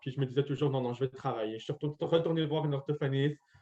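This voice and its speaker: A man talks in a fairly high pitch with a somewhat breathy quality. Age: 20s. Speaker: deaf medical student. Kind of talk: interview testimony. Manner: articulation affected by hearing loss; volume hard to balance.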